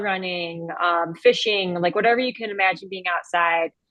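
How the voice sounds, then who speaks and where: Speaking at a fairly slow pace, a woman with a plain, everyday voice uses a medium pitch and fairly even intonation. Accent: American. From Cleveland, Ohio. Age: 30s. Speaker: podcast guest, fly fisher and sales rep. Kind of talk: casual interview chat.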